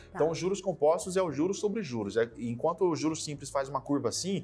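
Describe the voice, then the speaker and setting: A man's fairly high voice races at a very fast pace, rising and falling in an ordinary way. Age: 30s. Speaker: investment specialist. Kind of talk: podcast interview.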